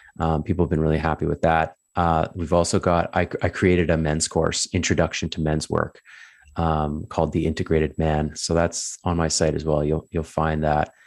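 A man with a Canadian accent speaks at a moderate pace in a very deep, low voice, his intonation monotone and flat and his loudness very even, against a quiet background. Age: 30s. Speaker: addictions counsellor and coach. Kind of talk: casual interview chat. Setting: call.

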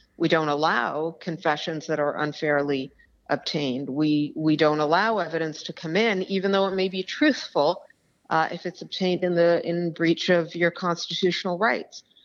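At a moderate pace, a woman speaks in a plain, everyday voice with a fairly low pitch and fairly even intonation. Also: quiet background. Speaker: criminal defence lawyer and author. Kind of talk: interview. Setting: phone call. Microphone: telephone line.

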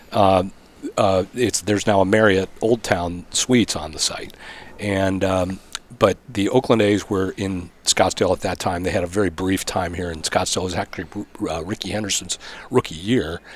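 A man speaks at a moderate pace with a very deep, low pitch and fairly even intonation. Noticeable background noise runs under his voice. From Arizona (Phoenix area), born in Pittsburgh. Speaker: sports public relations executive. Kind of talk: casual interview. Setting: hotel room, in person.

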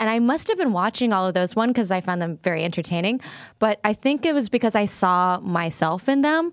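A woman with an ordinary speaking voice talks at a fairly quick pace with lively intonation and very even loudness, on a very clean recording with a silent background. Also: medium pitch for a woman. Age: 30s. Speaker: comedian. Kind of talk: casual chat.

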